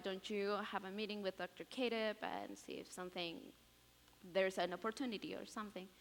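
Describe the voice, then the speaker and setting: A woman speaks with a Spanish accent and fairly even intonation. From Peru. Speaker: college student. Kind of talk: testimony. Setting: chapel stage with audience. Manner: halting, many fillers.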